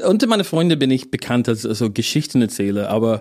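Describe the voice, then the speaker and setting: With an English accent, a man speaks at a fairly quick pace with a medium pitch. His tone is dark and mellow. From northern England, near Yorkshire. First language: English (speaking German). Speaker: stand-up comedian. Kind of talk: interview chat. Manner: halting, many repetitions and fillers.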